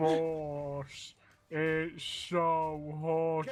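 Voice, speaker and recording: In a put-on character voice, a man speaks with a fairly high pitch and monotone, flat intonation. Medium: game stream.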